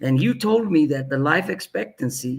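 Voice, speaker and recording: A man's somewhat breathy voice at a fairly slow pace, full of very wide pitch swings. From Ethiopia. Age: 60s. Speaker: aviation executive and former pilot. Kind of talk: interview storytelling. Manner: halting, many fillers and repeats.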